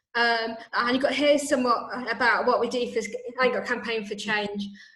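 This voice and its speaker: A woman speaks at a moderate pace in a fairly high pitch with monotone, flat intonation. The room echo is audible and the background noise is noticeable. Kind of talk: presentation in an online meeting. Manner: halting, stuttering.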